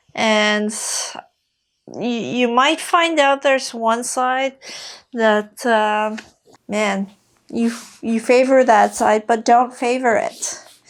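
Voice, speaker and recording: A woman with a French accent speaks at a very slow pace and fairly high pitch. The recording is very clean, with a silent background. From Quebec. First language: Quebec French. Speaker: fitness coach. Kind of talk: follow-along exercise tutorial. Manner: casual, with many fillers.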